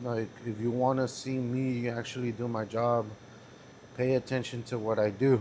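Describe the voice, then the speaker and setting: This man talks at a very slow pace with a Spanish accent. His medium-pitched voice keeps a monotone, flat intonation. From California. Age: 20s. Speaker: vlogger. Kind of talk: casual vlog monologue. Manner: flat, even delivery; halting, with fillers.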